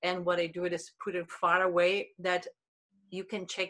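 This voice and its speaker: With a Spanish accent, a woman speaks at a moderate pace in a bright, sharp tone and a fairly low pitch. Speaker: body language expert. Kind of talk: interview. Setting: video call.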